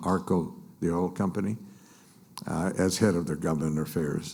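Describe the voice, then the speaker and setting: The voice has a dark, mellow tone, fairly even intonation and an American accent, with audible room echo. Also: man. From US West Coast (East Los Angeles). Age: 80s+. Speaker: business association leader and mayor. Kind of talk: conference speech. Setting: stage with audience. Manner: halting, many fillers.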